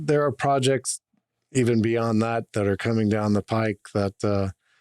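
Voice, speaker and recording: Recorded with a dry, close sound and no echo, a man with a plain, everyday voice and an American accent speaks at a fairly slow pace in a medium pitch. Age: 50s. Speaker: business owner. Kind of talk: casual chat.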